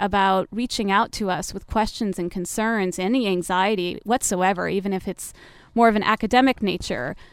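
With a normal speaking voice, a woman talks at medium pitch and ordinary pitch variation on a very clean recording with a silent background. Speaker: university admissions director. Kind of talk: radio interview. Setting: studio.

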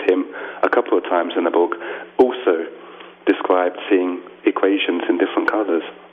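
A man with a London accent, over noticeable background noise. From London, England. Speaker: author. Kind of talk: radio interview.

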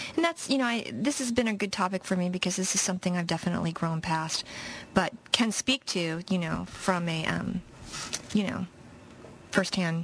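With a normal speaking voice, a woman talks at a fairly quick pace, her fairly low pitch showing ordinary variation. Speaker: radio co-host. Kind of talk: casual chat. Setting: radio studio, live broadcast.

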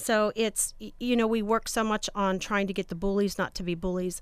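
This woman has an unremarkable speaking voice, with a medium pitch and ordinary pitch variation at a moderate pace. The recording is very clean, with a silent background. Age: 40s. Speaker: school administrator. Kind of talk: radio interview.

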